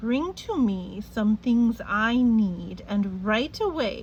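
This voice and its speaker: A female-sounding voice puts on a character voice at a fairly high pitch for a woman. She speaks very slowly over clear background noise. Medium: read story.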